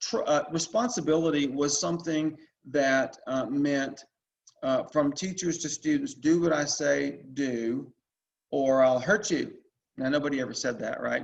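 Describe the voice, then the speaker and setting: Moving at a moderate pace, a man with a fairly high pitch shows ordinary pitch variation. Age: 60s. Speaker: Latin teacher presenter. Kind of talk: online presentation talk. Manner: halting, many fillers and repeats.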